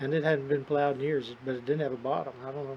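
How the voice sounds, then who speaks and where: Intonation here is monotone and flat. The man talks at a very fast pace. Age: 60s. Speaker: rice farmer. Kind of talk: casual chat.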